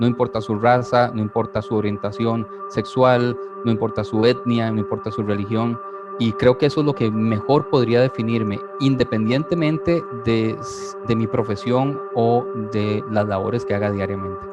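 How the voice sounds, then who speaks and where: With music in the background, a man with a medium pitch speaks at a moderate pace with lively intonation. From Costa Rica, San José. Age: 40s. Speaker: writer and speaker, faith community leader. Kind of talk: testimony. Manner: hesitant.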